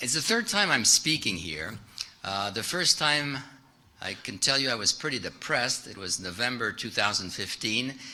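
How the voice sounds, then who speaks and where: With a French accent, a man speaks at a moderate pace in a bright, sharp tone with lively intonation. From France. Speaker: private investor, keynote speaker. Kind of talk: keynote presentation. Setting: stage with audience. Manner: halting, many fillers.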